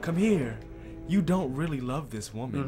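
Over clear background music, a man does a put-on character voice at a fairly high pitch and a moderate pace. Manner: enticing.

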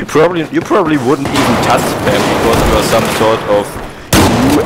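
Noticeable background noise is present as speech unfolds at a moderate pace. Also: man. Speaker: gaming video creator. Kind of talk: casual banter while gaming. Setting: online voice chat while gaming. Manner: joking, crude, animated.

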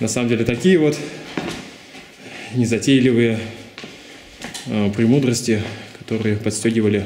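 A man at a moderate pace with fairly even intonation, audible room echo, and light background noise. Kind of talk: casual vlog chat. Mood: joking, ironic. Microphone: phone near.

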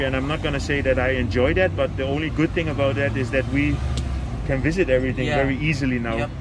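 Noticeable background noise sits under a man talking at a very fast pace. The sound is dry, with no echo. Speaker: travel vlogger. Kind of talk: casual vlog chat. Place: car. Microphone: phone near.

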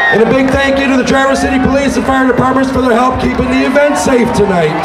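Crowd noise fills the background while a man talks at a very fast pace. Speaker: event DJ announcer. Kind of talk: public announcement. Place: street.

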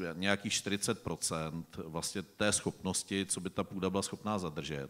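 A man talks here. His pitch is very deep and low. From Czechia. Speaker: farmer and forester; panelist. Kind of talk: panel discussion. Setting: stage with audience. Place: stage.

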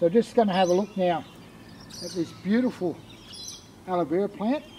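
A high-pitched male voice in an Australian accent, moderate in pace with lively intonation, over light background noise. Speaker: product presenter; presenter. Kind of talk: sales pitch. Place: garden.

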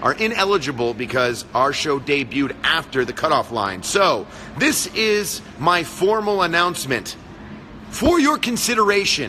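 A man speaking at a fairly slow pace over light background noise. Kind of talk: casual live stream chat. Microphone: phone near.

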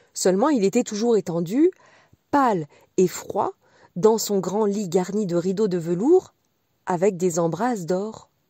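At a very slow pace, a woman speaks at a medium pitch with lively intonation and a tone both gentle and warm yet dark and mellow, in a dry, close sound with no echo. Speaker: audiobook reader. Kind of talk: bedtime story reading, scripted fairy-tale narration. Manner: slow, soft, gentle storyteller's pace with warm expressive lilt.

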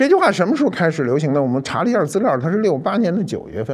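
Very wide pitch swings with vocal fry throughout. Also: man. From Beijing. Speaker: cultural commentator. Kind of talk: storytelling monologue. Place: studio.

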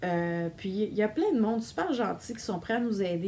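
A woman with a Quebec accent at a fairly slow pace, with ordinary pitch variation and light background noise. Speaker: knitting vlogger. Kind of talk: casual video monologue. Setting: home recording on camera. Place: home room. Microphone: phone near.

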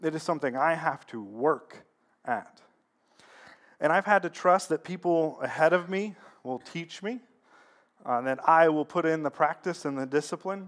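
At a moderate pace, a man speaks at a fairly high pitch with ordinary pitch variation against a quiet background. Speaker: pastor. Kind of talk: sermon with prayer. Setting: church. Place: church.

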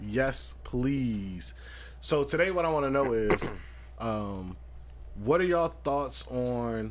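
A man talks at a very slow pace with long, frequent pauses, and the room echo is audible. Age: 30s. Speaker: podcast host. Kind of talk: casual chat.

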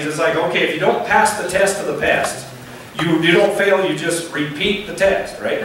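With lively intonation and a fairly quick pace, a man speaks amid strong room echo and light background noise. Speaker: pastor. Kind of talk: sermon. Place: church.

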